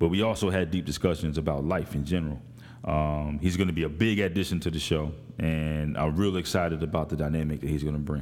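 Audible room echo surrounds a man with an American accent who speaks very fast in a very deep, low voice with fairly even intonation. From Morristown, New Jersey. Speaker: podcast host. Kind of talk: casual chat.

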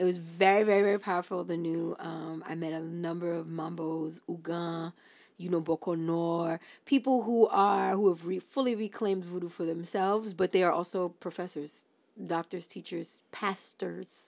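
A woman with a New York accent speaks at a moderate pace in a fairly low pitch, her intonation fairly even, on a very clean recording with a silent background. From Brooklyn, New York, Haitian family. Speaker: podcast co-host. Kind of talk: casual chat.

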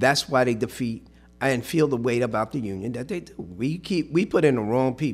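A man with a normal speaking voice talks at a medium pitch and moderate pace. His intonation is lively, and his loudness swings widely. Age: 60s. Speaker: union representative. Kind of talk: casual chat.

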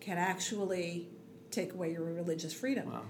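A somewhat breathy woman's voice with an American accent and audible room echo. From New York (Queens and Long Island). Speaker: blogger and religious community volunteer. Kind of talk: interview conversation. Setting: small room, closet-like space.

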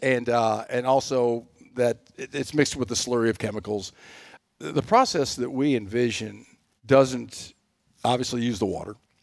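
This man speaks at a moderate pace in a Texan accent. His pitch sits in the medium range, and his intonation stays fairly even. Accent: Texan, Southern US. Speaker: energy company president. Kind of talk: interview. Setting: studio.

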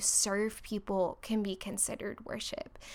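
A woman with an American accent speaks at a fairly slow pace. Her fairly high voice stays monotone and flat. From Orlando, Florida. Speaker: worship leader. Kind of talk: casual chat.

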